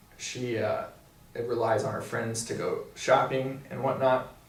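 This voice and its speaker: A man speaks very slowly in an American accent. Noticeable background noise and audible room echo fill the recording. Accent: Missouri accent, comes out now and then. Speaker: physical therapy student. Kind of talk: casual review chat.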